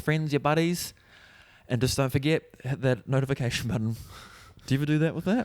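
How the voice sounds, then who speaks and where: The speaker talks at a fairly quick pace with a New Zealand accent. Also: man. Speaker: comedian. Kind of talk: casual podcast chat.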